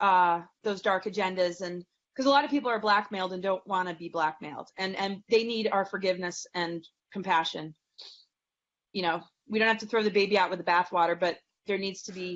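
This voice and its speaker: At a fairly quick pace, a woman talks at a medium pitch with ordinary pitch variation. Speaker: astrologer and spiritual teacher. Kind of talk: interview conversation; guided meditation. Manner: fast.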